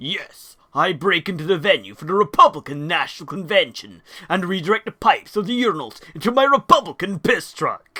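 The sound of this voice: In a cartoonish character voice, a man talks at a fairly quick pace, raised and projected, with a high pitch.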